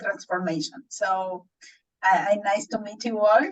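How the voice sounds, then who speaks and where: Speaking with a Spanish accent, a woman talks in a fairly high, somewhat breathy voice with ordinary pitch variation. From Argentina, Buenos Aires. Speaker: transformation coach. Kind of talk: casual self-introduction. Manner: halting.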